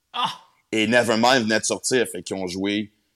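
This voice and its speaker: On a very clean recording with a silent background and a dry, close sound with no echo, a man with a plain, everyday voice speaks at medium pitch and a moderate pace. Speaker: comedian and radio host. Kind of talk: casual chat.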